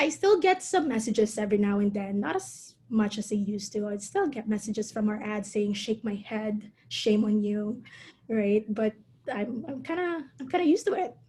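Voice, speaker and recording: A woman with a Filipino accent speaks at a moderate pace in a fairly high pitch with lively intonation, over noticeable background noise. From Philippines. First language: Tagalog. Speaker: calligrapher and entrepreneur. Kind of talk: interview conversation. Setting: online video call.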